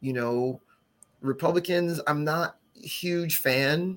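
A man with a New Jersey accent, talking at a very slow pace. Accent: New Jersey American. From New Jersey (West Orange), Haitian parents. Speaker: brewery co-founder. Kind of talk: casual interview. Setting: live podcast recording.

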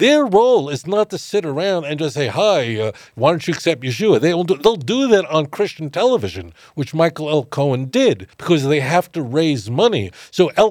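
Speaking at a moderate pace, a man with a New York accent uses a fairly high voice that swings very widely in pitch. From US, Brooklyn, New York. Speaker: rabbi. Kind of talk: podcast interview.

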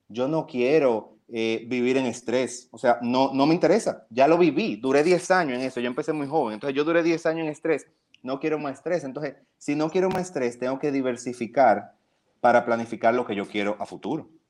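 At a fairly quick pace, a man talks in an ordinary speaking voice with medium pitch and ordinary pitch variation. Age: 30s. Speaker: publicist and events agency founder. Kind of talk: casual interview.

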